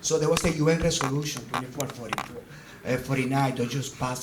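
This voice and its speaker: Someone talks at a very fast pace with ordinary pitch variation, amid noticeable background noise and audible room echo. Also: man. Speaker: physician and humanitarian coordinator. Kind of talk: presentation talk with slides. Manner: halting.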